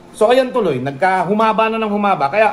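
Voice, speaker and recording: A man talks loudly in an angry tone at a very fast pace. Noticeable background noise runs behind him. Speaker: pigeon racing vlogger. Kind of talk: heated rant. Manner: sounds angry, forceful.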